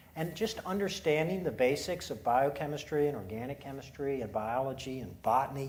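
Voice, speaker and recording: Somewhat breathy and fairly high in pitch, a man speaks at a moderate pace with lively intonation, and audible room echo is present. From Eastern Shore of Maryland (Salisbury). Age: 60s. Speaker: poultry company executive. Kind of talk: onstage interview.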